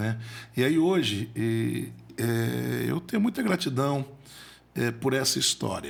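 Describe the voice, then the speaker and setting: Long pauses come often in speech that proceeds very slowly. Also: man. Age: 40s. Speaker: motivational speaker and accountant. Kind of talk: podcast interview storytelling. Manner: halting, repeats words.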